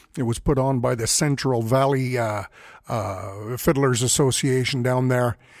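A man in a western Canadian accent speaks at a fairly slow pace and medium pitch, with fairly even intonation and a relaxed tone. The recording is very clean, the background silent. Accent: rural western Canadian. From Alberta, Canada. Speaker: fiddle player and podcast host. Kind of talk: casual solo podcast monologue. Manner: relaxed, with frequent fillers.

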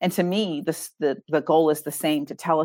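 A woman's very deep, low voice in an American accent, moderately paced, on a very clean recording with a silent background. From US Northeast. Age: 50s. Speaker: author and ghostwriter. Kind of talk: interview.

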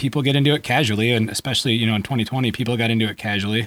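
A man at a very fast pace on a very clean recording with a silent background. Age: 40s. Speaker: podcast host. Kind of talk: casual interview.

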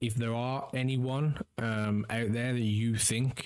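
Using a normal speaking voice, a man talks at medium pitch with fairly even intonation. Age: 30s. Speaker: podcast host and streamer. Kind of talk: solo monologue. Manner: casual, with many fillers.

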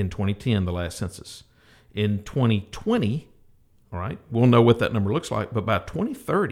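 In a plain, everyday voice, a man speaks at a moderate pace with fairly low pitch, on a very clean recording with a silent background. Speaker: financial advisor. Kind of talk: radio interview discussion.

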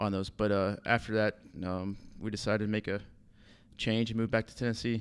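Here a man speaks with a Southern US accent at a fairly low pitch. His pace is moderate, and the recording is very clean with a silent background. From US South, southern Alabama. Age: 30s. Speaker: assistant golf course superintendent. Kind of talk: casual interview.

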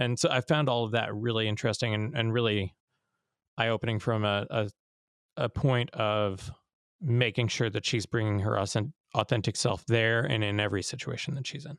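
A man at medium pitch with ordinary pitch variation and a moderate pace, a normal speaking voice, on a very clean recording with a silent background. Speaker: arts presenter, podcast co-host. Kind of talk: casual chat.

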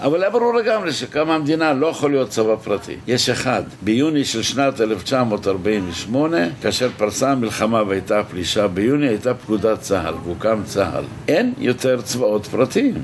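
Over noticeable background noise, a man with a medium pitch talks in an animated tone with lively intonation, very even loudness, a moderate pace and hardly any pauses. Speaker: orientalist scholar. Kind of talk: interview, heated debate. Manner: animated, argumentative.

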